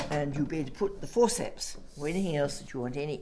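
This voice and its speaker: A woman has a very deep, low voice. Her tone is dark and mellow. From southwest England, Devon. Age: 80s+. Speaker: retired doctor. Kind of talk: interview testimony. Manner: halting.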